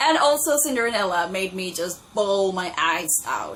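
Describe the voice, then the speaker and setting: Over noticeable background noise, a woman with a non-native accent speaks at a fairly slow pace in an animated tone with very wide pitch swings. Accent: own non-native. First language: not English. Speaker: booktuber. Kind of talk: casual vlog talk.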